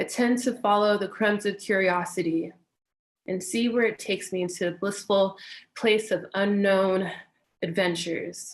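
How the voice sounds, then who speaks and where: Calm in tone, a woman talks with an American accent. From US West Coast, Inglewood, Los Angeles. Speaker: meditation teacher. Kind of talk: talk introducing herself before guided meditation. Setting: online webinar livestream.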